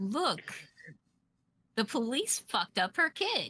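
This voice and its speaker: With a dry, close sound and no echo, a woman speaks very slowly in a bright, sharp tone at a high pitch, her pitch swinging very widely. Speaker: tabletop roleplay player. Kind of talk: casual roleplay chat.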